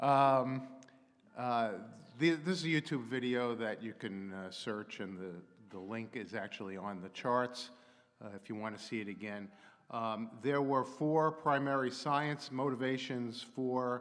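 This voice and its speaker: With audible room echo behind him, a man talks at a fairly slow pace and a medium pitch, his pitch varying an ordinary amount while his loudness swings widely. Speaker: astrophysicist and technology consultant. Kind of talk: public lecture.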